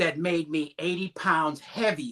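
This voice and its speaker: A man with a high voice speaks very slowly, his bright, sharp tone carried by lively intonation. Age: 60s. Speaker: life coach, meditation guide. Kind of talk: casual chat.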